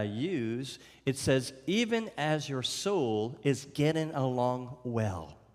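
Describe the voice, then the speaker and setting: Very slowly, a man of medium pitch speaks, with audible room echo. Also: hardly any pauses. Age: 60s. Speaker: visiting preacher. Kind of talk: sermon. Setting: church. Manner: halting.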